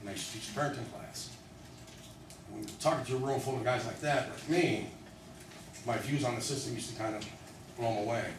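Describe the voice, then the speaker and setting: A man at a very fast pace and medium pitch, with audible room echo and noticeable background noise. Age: 40s. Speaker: former prisoner and public speaker. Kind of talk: talk to a live audience. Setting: room with audience, being videotaped. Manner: halting, with repeated words.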